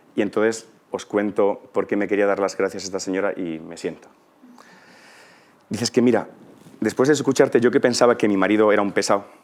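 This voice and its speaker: Fairly low-pitched, a man speaks at a fairly quick pace broken by long, frequent pauses. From Spain, Ciudad Real (La Mancha). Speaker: conference speaker, teacher. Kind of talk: conference talk. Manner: animated, conversational.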